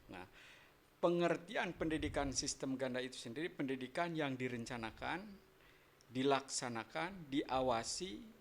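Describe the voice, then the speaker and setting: A man's medium-pitched voice at a moderate pace. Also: lively intonation. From West Java (Tasikmalaya, Sundanese). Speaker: university lecturer and workshop speaker. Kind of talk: radio interview.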